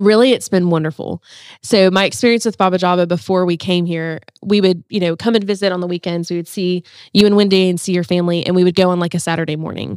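Talking at a very fast pace, a woman with an American accent uses a fairly low pitch and fairly even intonation. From South Africa until ten, then South Carolina. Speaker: podcast producer and media coordinator. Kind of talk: casual interview.

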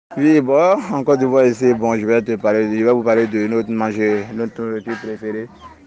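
Amid noticeable background noise, a man speaks at a moderate pace in a fairly low pitch. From Ivory Coast. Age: 20s. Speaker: mason. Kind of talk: interview. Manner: halting.

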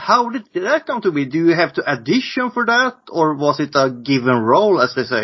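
With a Swedish accent, a man talks fairly quickly at a fairly high pitch, his voice making very wide pitch swings. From Sweden. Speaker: podcast host. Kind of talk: interview.

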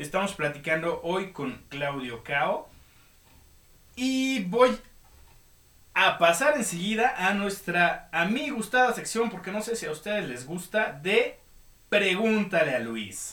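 A man's raised, projected voice, high in pitch and bright and sharp in tone, very slow with long, frequent pauses and very wide pitch swings. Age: 30s. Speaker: podcast host, illustrator and designer. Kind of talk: casual chat. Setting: live online radio studio.

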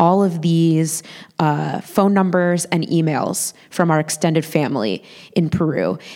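A woman speaks with a fairly low pitch and a dark, mellow tone. Her pitch varies in an ordinary way. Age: 30s. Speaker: storyteller. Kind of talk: live storytelling. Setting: stage with audience.

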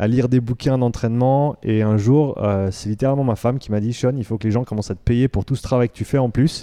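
This man's voice sits at a medium pitch with a dark, mellow tone and fairly even intonation, recorded dry and close with no echo against a quiet background. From Switzerland. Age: 30s. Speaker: fitness coach. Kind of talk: interview. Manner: hesitant with fillers.

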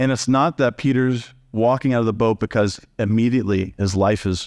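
A man speaks in a plain, everyday voice at a medium pitch and a moderate pace. The sound is dry and close with no echo, over a quiet background. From Texas. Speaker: pastor. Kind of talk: sermon. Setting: church.

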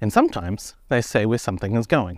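A man with a New Zealand accent talks at a moderate pace on a very clean recording with a silent background. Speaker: podcast host. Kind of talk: solo podcast explainer. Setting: outdoors, walking up a hill.

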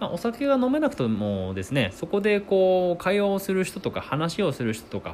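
A man's pitch swings very widely while he talks at a moderate pace. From Akita, northern Japan. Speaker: podcast host. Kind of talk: solo podcast monologue.

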